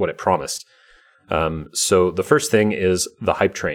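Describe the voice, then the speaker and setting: An unremarkable speaking voice from a man, fairly low in pitch, with ordinary pitch variation. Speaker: podcast host; salesperson. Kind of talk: casual podcast chat.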